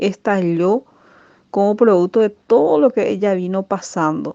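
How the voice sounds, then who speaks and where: In a dry, close recording with no echo, a woman of medium pitch speaks fairly slowly in a dark, mellow tone with ordinary pitch variation. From Paraguay. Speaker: teacher. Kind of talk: radio program testimony.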